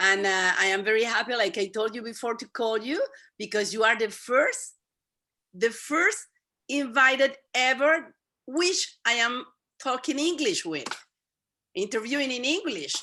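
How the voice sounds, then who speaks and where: Lively intonation and a bright, sharp tone at a moderate pace, with long, frequent pauses. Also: woman, high pitch for a woman. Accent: Spanish. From Venezuela. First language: Spanish. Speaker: YouTube interviewer. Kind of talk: interview.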